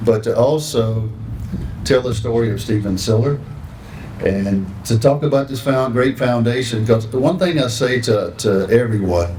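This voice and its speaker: A man with a Southern US accent speaks fairly slowly at a medium pitch, with ordinary pitch variation. Audible room echo and noticeable background noise are present. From North Carolina. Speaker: foundation ambassador. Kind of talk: ceremony speech.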